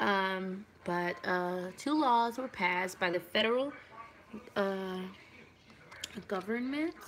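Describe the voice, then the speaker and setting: Very slowly and with long, frequent pauses, a woman speaks at medium pitch with lively intonation. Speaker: video diarist. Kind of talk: casual study vlog. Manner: slow, halting.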